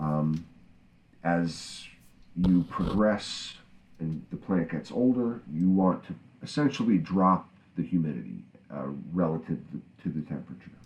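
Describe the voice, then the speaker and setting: A man with a very deep, low voice speaks fairly slowly, using lively intonation and long, frequent pauses. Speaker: cannabis grower podcast co-host. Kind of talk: casual unscripted chat between two growers. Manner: relaxed, conversational.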